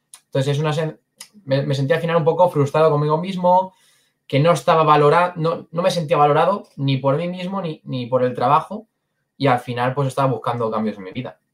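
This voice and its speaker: A somewhat breathy man with a fairly high pitch, a fairly quick pace and ordinary pitch variation. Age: 20s. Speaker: sales closer. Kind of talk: interview.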